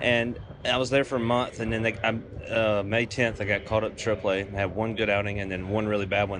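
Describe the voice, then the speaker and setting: Against background music, a man with a Southern US accent speaks at a very fast pace. His voice is fairly low and monotone, with flat intonation. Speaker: baseball relief pitcher. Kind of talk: interview. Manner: casual, filler-heavy, repetitive.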